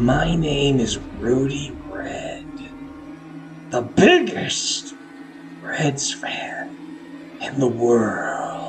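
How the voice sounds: A man uses a put-on character voice with an intense tone at a very slow pace. Long, frequent pauses break it up over clear background noise.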